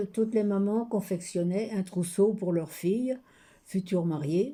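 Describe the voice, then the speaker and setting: Dark, mellow tone from a woman at a medium pitch, her pitch varying in an ordinary way. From France, Loiret (Centre-Val de Loire). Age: 90s. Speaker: retired shop worker interviewed for an art project. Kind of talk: oral memoir / testimony.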